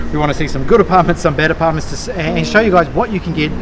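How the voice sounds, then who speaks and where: With a New Zealand accent, a man speaks in a high voice with ordinary pitch variation against noticeable background noise. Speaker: vlogger. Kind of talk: casual vlog talk to camera.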